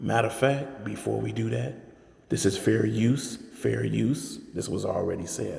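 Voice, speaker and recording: A soft-spoken man talks at a fairly slow pace. Room echo is audible. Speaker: religious commentator. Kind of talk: casual commentary. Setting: at work.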